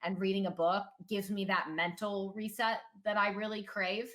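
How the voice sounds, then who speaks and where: A woman speaks loudly. Her intonation stays fairly even. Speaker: gaming content creator and streamer. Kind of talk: casual chat.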